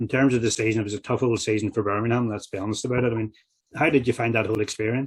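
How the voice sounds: A man at a very fast pace, fairly low in pitch, with a slightly husky edge and fairly even intonation.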